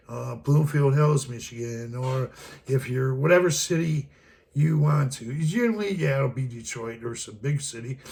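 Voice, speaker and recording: A man talks at a moderate pace with medium pitch and ordinary pitch variation. His voice is somewhat breathy, with big swings in loudness. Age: 60s. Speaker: travel vlogger. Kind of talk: casual monologue. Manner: rambling, hesitant with many fillers.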